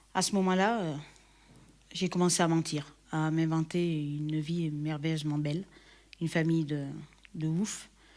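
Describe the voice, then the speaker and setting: On a very clean recording with a silent background, a woman with a very deep, low pitch speaks fairly slowly and evenly, leaving long, frequent pauses. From southern France, Perpignan. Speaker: church member giving testimony. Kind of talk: testimony. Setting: recorded video shown in church. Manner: hesitant, many fillers.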